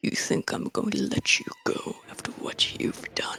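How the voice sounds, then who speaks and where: A man puts on a raspy, guttural character voice. He speaks at a moderate pace. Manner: menacing.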